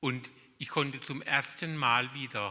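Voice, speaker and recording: Very slowly, a man speaks at a medium pitch in a bright, sharp tone. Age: 60s. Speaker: blind workshop participant. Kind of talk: testimony. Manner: halting.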